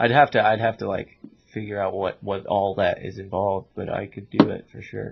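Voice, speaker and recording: This man talks at a moderate pace with a fairly low pitch in an ordinary speaking voice. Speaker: podcast host. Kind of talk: casual chat.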